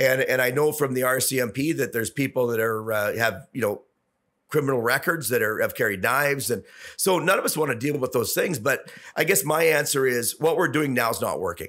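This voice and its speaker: In a Canadian accent, a man with an ordinary speaking voice talks at a fairly quick pace and medium pitch with ordinary pitch variation, the recording very clean and the background silent. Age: 60s. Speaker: businessman and former city councillor. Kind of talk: podcast interview.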